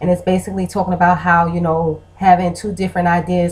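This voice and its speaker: Her pitch is fairly low. This woman's voice comes out somewhat breathy. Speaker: vlogger and blogger. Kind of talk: casual vlog monologue.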